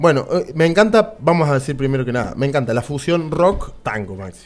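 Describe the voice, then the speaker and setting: A normal speaking voice comes at a fairly quick pace with hardly any pauses. The intonation is lively. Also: man. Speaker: radio host. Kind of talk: radio interview.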